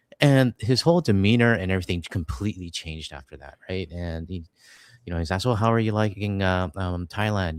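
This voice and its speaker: A man with a Canadian accent speaks at a fairly quick pace in a very deep, low pitch with ordinary pitch variation. The recording is very clean with a silent background and a dry, close sound with no echo. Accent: Canadian, can be mistaken for American. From Canada, British Columbia. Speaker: political commentator, channel host. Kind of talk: casual chat on livestream.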